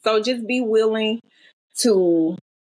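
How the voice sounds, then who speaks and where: Somewhat breathy, fairly high-pitched speech from a woman with a Southern accent. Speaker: self-published author. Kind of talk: interview conversation.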